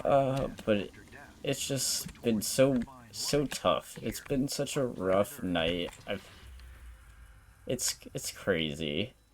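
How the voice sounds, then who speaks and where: A man speaks very slowly at a medium pitch, with vocal fry. His pitch swings very widely. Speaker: streamer. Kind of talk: casual chat. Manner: halting.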